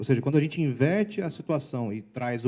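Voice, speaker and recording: A man talks in a medium pitch, his pitch varying in an ordinary way. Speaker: sales trainer and speaker. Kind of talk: lecture. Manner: fast.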